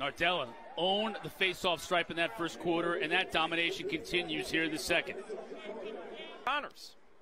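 Long, frequent pauses break up speech of very even loudness against noticeable background noise. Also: man, high pitch for a man, ordinary pitch variation. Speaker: lacrosse play-by-play commentator. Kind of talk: live play-by-play sports commentary on faceoffs. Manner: rapid-fire, excitable calling of loose-ball scrambles; clipped fragments tracking the ball pass by pass.

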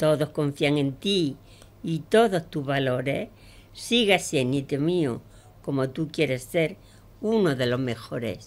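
A woman with an Andalusian accent, very deep and low in pitch, with lively intonation at a very slow pace. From Andalusia, Pozoblanco (Córdoba). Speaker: amateur poet. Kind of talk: poetry reading; casual radio chat. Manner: halting. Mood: warm, recitative. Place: studio. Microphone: studio mic.

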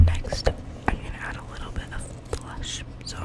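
A woman's whisper moves at a moderate pace, with noticeable background noise present. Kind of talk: ASMR whisper ramble. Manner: whispered; casual, rambling.

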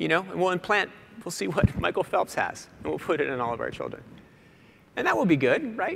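A man with an American accent at a very fast pace, his pitch swinging very widely over light background noise. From US Northeast (Boston). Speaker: magazine editor, keynote speaker. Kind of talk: keynote speech. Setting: stage with audience. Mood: light, joking. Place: stage. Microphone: lapel.

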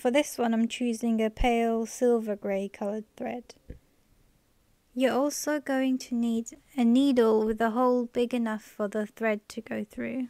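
A woman talks at a fairly slow pace in a fairly high pitch with a dark, mellow tone and monotone, flat intonation. The sound is dry and close, with no echo. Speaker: embroidery and DIY craft tutorial maker. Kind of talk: soft-spoken instructional ASMR tutorial. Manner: soft-spoken.

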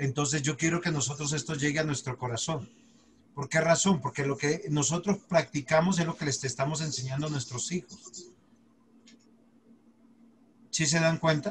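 Over light background noise, a somewhat breathy man talks at a moderate pace with ordinary pitch variation and long, frequent pauses. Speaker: pastor teaching a Bible class. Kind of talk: lecture. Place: home room. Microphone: video call.

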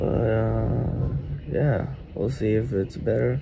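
A man talks very slowly while noticeable background noise is present. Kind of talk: casual vlog chat. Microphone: phone near.

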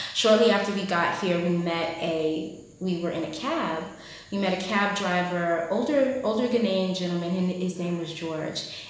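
Speaking at a moderate pace with a fairly low pitch and ordinary pitch variation, a woman's voice carries strong room echo. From United States. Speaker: vlogger. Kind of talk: vlog monologue. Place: home room. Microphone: phone near.

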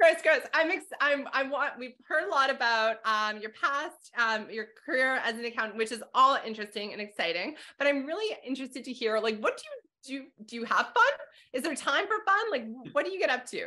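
A woman's high-pitched, raised, projected voice in a Canadian accent, with a bright, sharp tone, very wide pitch swings, big swings in loudness, a fairly quick pace and a quiet background. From Calgary, Alberta; Alberta. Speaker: accounting instructor and podcast host; accounting instructor, podcast host. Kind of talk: interview conversation. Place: home room. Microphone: video call.

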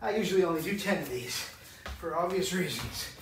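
A man speaks at a moderate pace in a high pitch, with audible room echo and noticeable background noise. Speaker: fitness coach. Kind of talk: workout tutorial with counting. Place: home room. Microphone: camera far.

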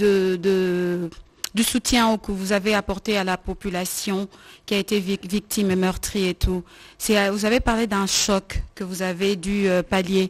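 A woman speaks at a very slow pace and a medium pitch. Her intonation is monotone and flat. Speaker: journalist. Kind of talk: press conference.

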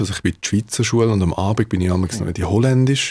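The background stays quiet as a man talks, his pitch moving in an ordinary way. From Switzerland (Davos), Dutch parents; Switzerland. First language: Dutch (speaking German). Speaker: musician; guest. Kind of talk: interview. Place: studio. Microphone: studio mic.

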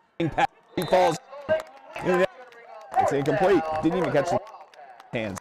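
A man with an animated tone is recorded with dry sound, no echo, and noticeable background noise. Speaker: sports commentator. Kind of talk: live sports commentary. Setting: livestream at a high school football stadium. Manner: animated, excitable play-by-play; casual, rambling, halting with filler. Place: stadium.

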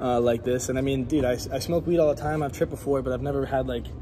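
Over noticeable background noise, a man talks at a very fast pace with ordinary pitch variation. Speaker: fitness vlogger. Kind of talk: casual vlog chat. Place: gym. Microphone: phone near.

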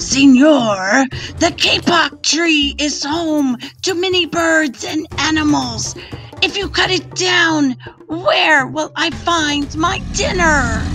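A woman uses a put-on character voice, pitched high and delivered at a very slow pace. Clear background noise runs underneath. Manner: growling, menacing.

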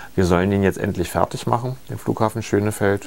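At a moderate speed, a man delivers his words. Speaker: politician being interviewed. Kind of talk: interview answer. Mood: calm, explanatory. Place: shop. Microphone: lapel.

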